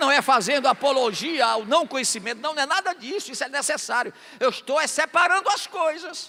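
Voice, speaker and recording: Over noticeable background noise, a man with an extremely high voice talks at a fairly quick pace in a raised, projected voice. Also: lively intonation. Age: 60s. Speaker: pastor. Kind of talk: sermon.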